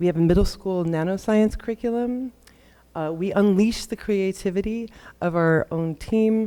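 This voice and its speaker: Speaking with an American accent, a woman has a dark, mellow tone, medium pitch, ordinary pitch variation and a moderate pace. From United States. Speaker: science communicator. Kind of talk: conference talk.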